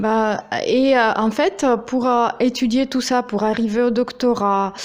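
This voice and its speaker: A woman speaks very slowly with a Russian accent and a high pitch. Her intonation stays fairly even. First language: Russian (speaking French). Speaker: YouTuber, interviewer. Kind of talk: interview. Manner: hesitant, many fillers.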